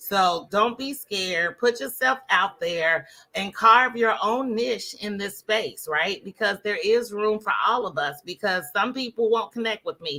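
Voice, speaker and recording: Loud and bright, a woman's sharp, fairly high voice runs with lively intonation and hardly any pauses. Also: fairly slow pace. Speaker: Facebook ads coach. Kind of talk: interview.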